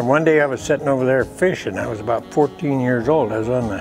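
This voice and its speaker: Music plays in the background behind speech with lively intonation. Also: man. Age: 80s+. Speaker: western painter. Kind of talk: interview answer. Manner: folksy, reminiscing.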